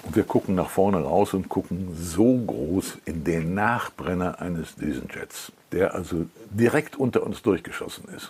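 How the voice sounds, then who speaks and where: His voice is very deep and low, with ordinary pitch variation and a fairly slow pace. The man's loudness swings widely. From Cologne, Germany. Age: 80s+. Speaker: TV documentary author and narrator. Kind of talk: interview. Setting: at home.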